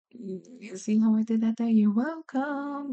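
A woman speaks at a fairly slow pace in a fairly high pitch, her tone animated. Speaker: podcast host and children's book author. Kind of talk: casual solo podcast monologue. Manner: animated, laughs often.

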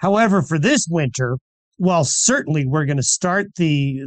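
Dry and close with no echo, a man's ordinary speaking voice sits fairly high in pitch, with ordinary pitch variation and a moderate pace. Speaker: meteorologist. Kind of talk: radio interview.

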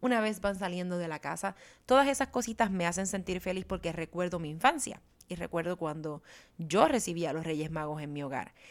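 At a fairly quick pace, the speaker uses a warm, animated tone and lively intonation, recorded very cleanly with a silent background. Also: woman, fairly low pitch for a woman. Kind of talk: solo podcast monologue.

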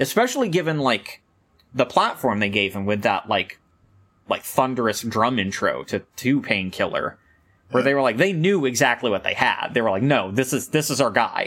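At a moderate pace, a man talks in an animated tone at medium pitch. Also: lively intonation. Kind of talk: casual chat about metal. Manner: animated, excitable.

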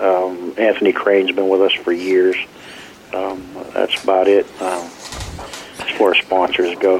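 Over noticeable background noise, a man with a very deep, low pitch speaks at a very slow pace in a monotone, flat intonation. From Arkansas. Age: 50s. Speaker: race car driver and team owner. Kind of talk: interview.

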